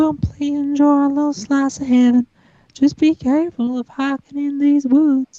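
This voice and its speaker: A woman performs a put-on character voice at a high pitch with monotone, flat intonation. Her moderate pace comes through a dry, close sound with no echo. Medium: stage play. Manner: folksy drawl.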